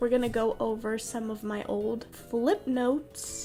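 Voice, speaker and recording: A woman with a high voice speaks over background music. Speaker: artist. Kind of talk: casual talk to camera.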